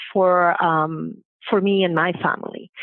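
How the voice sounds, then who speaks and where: A woman speaks at a fairly slow pace. She has a strong Venezuelan accent. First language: Spanish. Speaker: banking diversity leader. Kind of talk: podcast interview. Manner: halting, many fillers.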